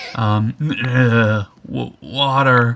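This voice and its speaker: This man's put-on character voice sits at a medium pitch. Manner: pleading.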